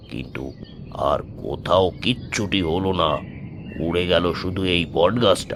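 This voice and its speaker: A man's put-on character voice, very deep and low, at a fairly slow pace with ordinary pitch variation and clear background noise. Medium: audio drama. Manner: uneasy, fearful.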